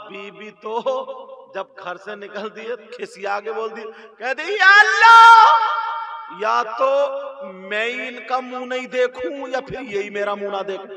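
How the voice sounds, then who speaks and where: A man's raised, projected voice, high-pitched and dramatic in tone, with ordinary pitch variation. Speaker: Islamic preacher delivering a sermon. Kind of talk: Islamic sermon (bayan) delivered to an audience. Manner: emotional, storytelling, dramatic retelling.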